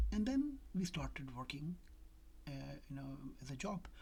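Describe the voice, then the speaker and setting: A woman speaks at a fairly slow pace with a non-native accent. Her tone is dark and mellow, and somewhat breathy. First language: not English. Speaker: doctor. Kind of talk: casual talk to camera. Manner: hesitant, many fillers.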